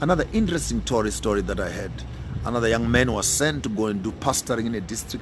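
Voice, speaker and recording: A man's very fast, animated speech at a medium pitch with lively intonation and audible room echo. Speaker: pan-African speaker. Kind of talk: radio talk, impassioned monologue. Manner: animated, emphatic.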